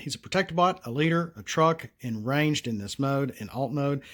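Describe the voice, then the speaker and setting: A man with a Southern US accent on a very clean recording, silent background. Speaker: card game designer, solo channel host. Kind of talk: casual tutorial / card review.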